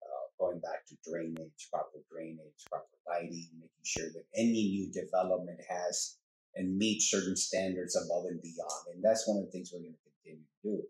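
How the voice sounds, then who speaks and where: One man talks at a moderate pace with an American accent. His loudness swings widely. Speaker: city mayor. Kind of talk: casual interview. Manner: animated.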